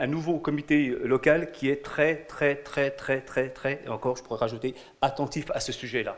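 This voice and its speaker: At a moderate pace, the speaking continues while background noise stays noticeable. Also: man. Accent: Franche-Comté. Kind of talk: conference presentation. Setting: conference at a prefecture with audience. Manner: halting, with repetitions.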